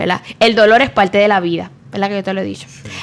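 This is a woman speaking with a Puerto Rican accent. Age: 30s. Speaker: nutritionist and psychologist. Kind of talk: interview.

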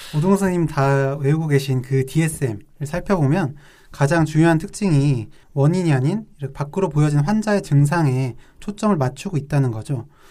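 A man's dark, mellow, somewhat breathy voice at a moderate pace, with ordinary pitch variation. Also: fairly high pitch for a man. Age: young. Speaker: psychiatrist co-host. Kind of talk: casual chat.

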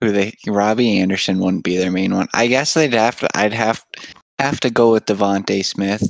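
Fairly low-pitched and in an unremarkable speaking voice, a man talks at a moderate pace, the sound dry and close with no echo. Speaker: podcast co-host. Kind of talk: casual chat.

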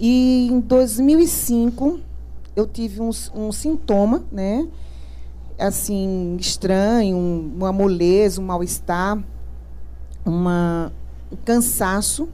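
With long, frequent pauses, a woman talks at a very slow pace amid audible room echo. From Recife, Pernambuco, Brazil. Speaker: cancer survivor, integrative therapist. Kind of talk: testimony. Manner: laughs often when greeting.

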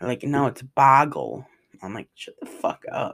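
Someone with an American accent talks at a moderate pace, with vocal fry in the voice. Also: man. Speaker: podcaster. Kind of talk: casual vlog-style monologue. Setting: log cabin rental. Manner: halting, many fillers.

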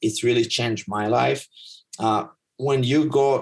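Somewhat breathy, a man speaks with an Israeli accent at a moderate pace and with ordinary pitch variation. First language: Hebrew. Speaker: life coach and teacher. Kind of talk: casual chat. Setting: video call.

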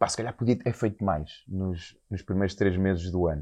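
A man talking at a fairly quick pace over a quiet background. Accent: European Portuguese. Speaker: podcast host. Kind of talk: casual interview chat. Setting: restaurant site under construction.

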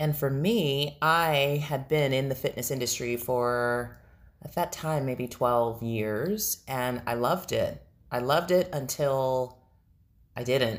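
The speaker is a woman with a very deep, low pitch. She talks at a very slow pace. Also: ordinary pitch variation. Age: 40s. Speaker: podcast co-host, fitness instructor and speaker. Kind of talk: casual chat.

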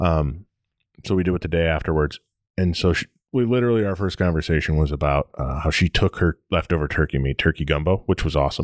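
Speaking with an American accent, a man uses a very deep, low pitch with ordinary pitch variation at a very fast pace. The sound is dry and close with no echo, on a very clean recording with a silent background. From Michigan (Detroit and Toledo area). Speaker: podcast co-host. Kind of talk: casual chat.

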